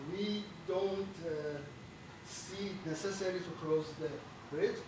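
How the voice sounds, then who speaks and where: At a very slow pace and with fairly even intonation, the voice comes through noticeable background noise and audible room echo. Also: man. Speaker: bridge engineer. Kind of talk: technical seminar presentation. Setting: auditorium with audience. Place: meeting room. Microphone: camera far.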